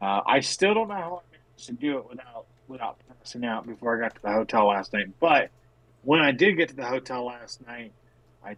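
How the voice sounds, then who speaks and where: An unremarkable speaking voice with lively intonation, big swings in loudness, and a fairly quick pace. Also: man, medium pitch for a man. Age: 40s. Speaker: podcast co-host. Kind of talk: casual chat. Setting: call from a hotel room.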